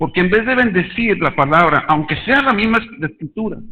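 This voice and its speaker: With lively intonation, a man talks in a high voice. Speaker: lay preacher. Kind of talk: sermon. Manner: halting.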